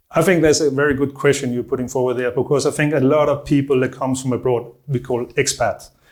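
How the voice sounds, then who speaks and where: Speaking at a fairly quick pace, a man with a Danish accent holds a medium pitch in a monotone, flat intonation. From Denmark. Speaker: online marketing business owner. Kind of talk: interview answer.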